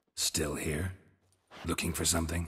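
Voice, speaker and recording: A man uses a put-on character voice, very deep and raspy. He speaks at a moderate pace. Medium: video game. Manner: terse, dry, deadpan.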